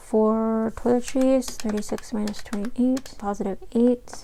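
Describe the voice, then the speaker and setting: Soft-spoken and monotone, a woman with a fairly high pitch talks at a fairly slow pace in a flat delivery. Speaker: budgeting vlogger. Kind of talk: casual tutorial.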